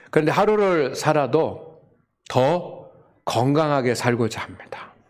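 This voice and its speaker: Audible room echo surrounds a man speaking at a very slow pace. His fairly high voice has lively intonation. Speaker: pastor. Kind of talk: sermon. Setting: church with congregation.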